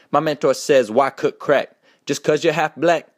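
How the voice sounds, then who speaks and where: A man with a normal speaking voice talks at a moderate pace and a fairly high pitch. The recording is very clean and dry, close with no echo and a silent background. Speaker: rapper. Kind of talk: spoken word poetry. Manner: rhythmic, rhyming delivery.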